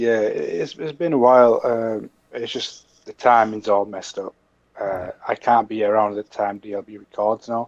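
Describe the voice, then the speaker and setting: In a dry, close sound with no echo, a man with a Mancunian accent speaks at a moderate pace and medium pitch, his intonation fairly even but his loudness swinging widely. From Manchester, England. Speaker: podcast guest, gamer. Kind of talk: casual podcast chat.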